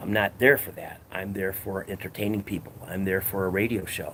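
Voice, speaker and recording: A man with a Chicago accent speaks at a fairly low pitch. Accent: Midwestern US (Chicago area). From northern Illinois (McHenry County). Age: 60s. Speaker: livestreamer and former radio host and comedian. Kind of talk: casual livestream chat. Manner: casual, profane storytelling.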